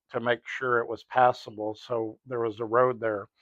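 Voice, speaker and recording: A man's medium-pitched voice with an American accent, monotone and flat, at a fairly slow pace. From South Texas, Rio Grande Valley. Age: 60s. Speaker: retired police officer, storyteller. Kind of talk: nostalgic storytelling monologue. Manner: casual, with fillers and restarts.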